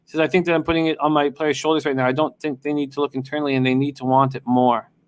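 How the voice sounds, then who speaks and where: Recorded very cleanly with a silent background, a man's voice has a dry, close sound with no echo. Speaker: sports betting live streamer. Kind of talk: live stream chat with stats reading. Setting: live stream with chat. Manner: fast.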